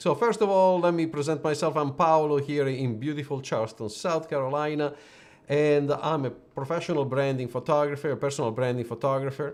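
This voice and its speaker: A man talks at a fairly quick pace with an Italian accent. The background is quiet. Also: ordinary pitch variation. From Italy. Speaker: personal branding photographer. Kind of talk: live stream business talk. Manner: hesitant, with fillers and restarts.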